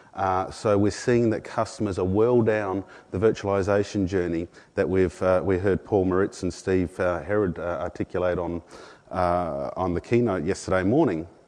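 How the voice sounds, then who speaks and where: The speaker talks at a moderate speed in an Australian accent, keeping the intonation fairly even. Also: man, very deep, low pitch for a man. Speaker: product marketing manager. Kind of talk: conference presentation. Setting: conference room with audience. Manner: many filler words.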